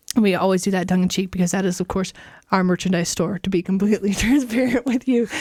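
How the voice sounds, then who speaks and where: Very fast speech comes from a woman who is somewhat breathy. Her pitch varies in an ordinary way. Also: medium pitch for a woman, very even loudness. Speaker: podcast host. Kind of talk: casual chat. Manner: hesitant, many fillers.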